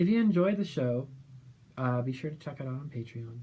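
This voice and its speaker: The voice has a dark, mellow tone, somewhat breathy, in an American accent. It moves at a moderate pace with ordinary pitch variation. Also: man. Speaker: audio drama creator. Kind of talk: behind the scenes commentary.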